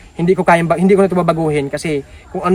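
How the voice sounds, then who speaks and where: A man talks loudly at a very fast pace, his pitch high for a man. Pitch variation is ordinary, and background noise is noticeable. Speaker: charity vlogger. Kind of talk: casual vlog talk to viewers.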